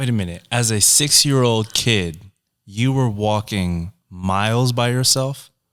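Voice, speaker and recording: A man with a plain, everyday voice and an American accent, at a medium pitch with ordinary pitch variation, speaking at a fairly slow pace with very even loudness. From US. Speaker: podcast host. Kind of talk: podcast interview.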